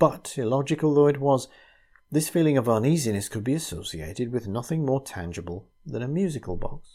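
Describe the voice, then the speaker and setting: His voice is medium in pitch with a dark, mellow tone, somewhat breathy, as this man speaks at a fairly quick pace with lively intonation. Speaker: narrator. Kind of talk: sleep story.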